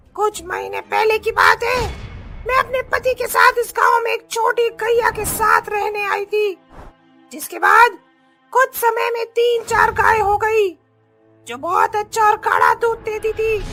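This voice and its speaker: Over faint music in the background, a female-sounding cartoonish character voice speaks at a moderate pace with extremely high pitch. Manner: fierce, threatening.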